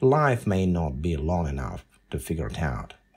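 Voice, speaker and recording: A man's voice with vocal fry and very wide pitch swings at a moderate pace, in a very clean recording with a silent background. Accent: Russian. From Russia (Volgograd, then USSR). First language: Russian. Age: 50s. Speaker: podcaster and writer. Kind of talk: podcast monologue.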